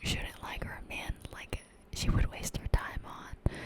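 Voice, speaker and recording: Noticeable background noise is present. Over it, someone whispers. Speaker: ASMR content creator. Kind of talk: casual whispered ramble to camera, ASMR. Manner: whispered, soft-spoken.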